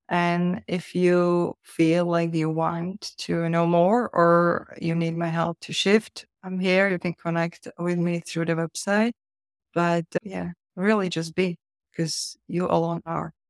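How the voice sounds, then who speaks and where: The speaker has a non-native accent and talks very slowly. The recording is very clean, with a silent background. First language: not English. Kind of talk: interview conversation.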